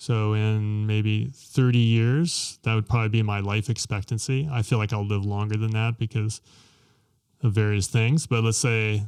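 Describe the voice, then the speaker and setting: A man with an American accent speaks in a normal speaking voice at a moderate pace, his fairly low pitch held in fairly even intonation on a very clean recording with a silent background. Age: 60s. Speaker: podcast host and financial author. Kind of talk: casual conversational discussion.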